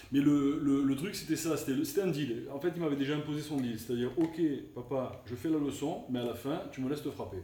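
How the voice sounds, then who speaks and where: In a room with audible echo, a man with a fairly high pitch speaks at a fairly quick pace. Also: ordinary pitch variation. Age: 50s. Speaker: casino director and former boxer. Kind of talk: casual interview. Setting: training camp in the Canary Islands. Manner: halting, repeats words.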